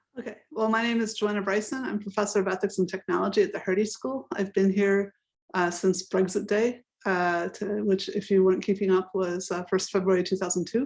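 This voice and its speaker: Talking at a fairly quick pace with fairly even intonation, a woman has a plain, everyday voice with an American accent. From United States. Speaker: professor. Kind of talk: panel discussion.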